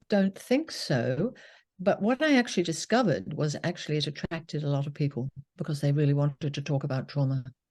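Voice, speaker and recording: A woman with a British accent speaks fairly quickly in a very deep, low pitch with very wide pitch swings. Her tone is dark and mellow, somewhat breathy, over a quiet background. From UK. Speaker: psychotherapist. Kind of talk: interview.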